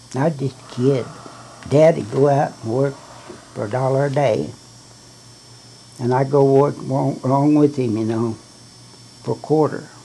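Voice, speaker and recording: A man with a Southern US accent, fairly high pitch, ordinary pitch variation and a fairly slow pace, over noticeable background noise. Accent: Southern US rural. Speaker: great-grandfather. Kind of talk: storytelling about own life. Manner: casual, rambling.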